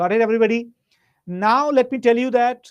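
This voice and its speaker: A man talks loudly at a high pitch. The background is quiet. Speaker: teacher. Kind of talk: online lecture. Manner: varies pitch and loudness.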